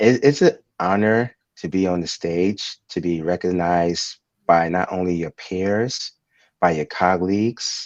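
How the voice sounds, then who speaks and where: With a New York accent and a very deep, low pitch, a man speaks at a fairly slow pace with ordinary pitch variation against a quiet background. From Brooklyn, New York. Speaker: transit company executive. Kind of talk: interview.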